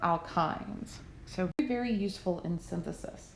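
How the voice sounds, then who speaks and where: With a Southern US accent and ordinary pitch variation, a woman speaks amid audible room echo and noticeable background noise. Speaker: chemistry teacher. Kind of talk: lecture. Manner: hesitant, many fillers.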